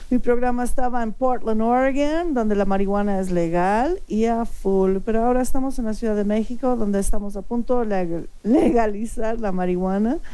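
A woman with a fairly high pitch speaks in a dark, mellow tone with ordinary pitch variation. She moves at a moderate pace with hardly any pauses, and audible room echo is present. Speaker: radio show host. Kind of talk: casual radio talk show.

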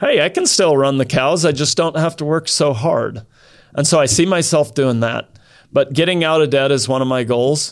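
In a normal speaking voice with an American accent, a man speaks at a moderate pace with a fairly high pitch and ordinary pitch variation. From Idaho. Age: 50s. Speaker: cattle rancher. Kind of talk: casual interview.

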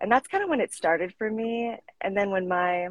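Woman's somewhat breathy voice at a medium pitch with an American accent, moderate pace and ordinary pitch variation, in a dry, close sound with no echo. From Colorado, US. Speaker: fitness coach. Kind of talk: casual interview. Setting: live stream.

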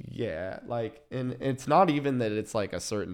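Lively intonation marks the speech of a man in an American accent. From Kansas City area, US Midwest. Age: 20s. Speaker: DJ and event producer. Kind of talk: casual interview.

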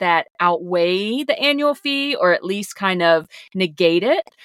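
Lively intonation marks a woman speaking at a medium pitch with a Southern US accent. The recording is very clean, with a silent background and a dry, close sound with no echo. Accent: Southern American. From US South. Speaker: podcast co-host. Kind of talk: casual chat.

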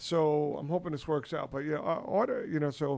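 With a normal speaking voice, a man talks at a fairly quick pace and a fairly high pitch. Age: 50s. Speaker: podcast host. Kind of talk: casual chat.

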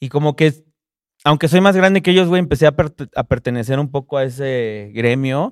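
In a Mexican accent, a man speaks at a fairly high pitch and a moderate pace with ordinary pitch variation, the sound dry and close with no echo. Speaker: rapper and music producer. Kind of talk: casual chat.

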